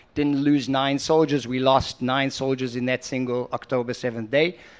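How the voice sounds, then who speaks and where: A man with a slight South African accent speaks in a fairly high voice, his intonation monotone and flat. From South Africa, moved to Israel at five. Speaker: entrepreneur and investor. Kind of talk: on-stage interview. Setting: conference stage with audience.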